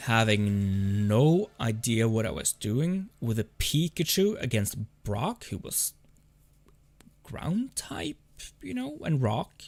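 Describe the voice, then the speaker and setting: Speaking very slowly in a Norwegian accent, a man uses medium pitch and lively intonation. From Norway. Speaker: gaming streamer. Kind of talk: casual chat. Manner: halting.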